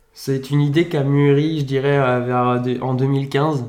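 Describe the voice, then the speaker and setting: Heard with audible room echo, a man speaks at a very slow pace in a monotone, flat intonation. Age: 30s. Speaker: motocross and rally rider. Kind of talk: interview. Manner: hesitant, many fillers.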